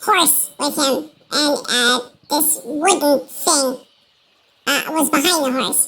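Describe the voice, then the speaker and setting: The voice is a put-on character voice with a high pitch. It goes at a fairly slow pace. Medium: actual play. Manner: hesitant, halting, full of fillers.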